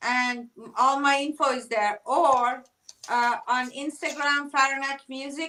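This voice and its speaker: A woman speaks in a raised, projected voice at a high pitch, keeping her intonation fairly even and her pace fairly slow. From southern Iran. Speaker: musician. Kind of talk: casual chat.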